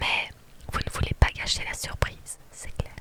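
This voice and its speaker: A woman is whispering. Noticeable noise sits in the background. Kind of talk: whispered reading of a game story. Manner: whispered.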